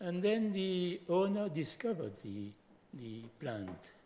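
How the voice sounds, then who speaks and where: A man's voice has a dark, mellow tone. His pitch swings very widely. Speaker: speaker. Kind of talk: lecture. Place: hall. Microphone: podium.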